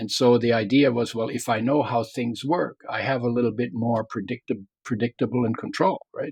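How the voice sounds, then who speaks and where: A man with a medium pitch talks at a moderate pace in a somewhat breathy voice, his intonation fairly even and the sound dry and close with no echo. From Germany. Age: 70s. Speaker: health author and wellness pioneer. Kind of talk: interview. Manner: halting.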